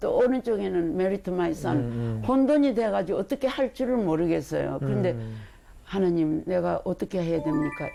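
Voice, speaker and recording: Music plays in the background while a woman speaks. Her fairly low voice swings very widely in pitch. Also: moderate pace. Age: 80s+. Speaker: artist, church deaconess. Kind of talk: interview answer.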